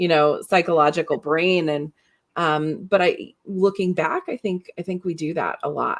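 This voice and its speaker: A woman with a normal speaking voice, fairly low pitch, fairly even intonation and a moderate pace, in a dry, close sound with no echo. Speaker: podcast host. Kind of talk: live interview conversation.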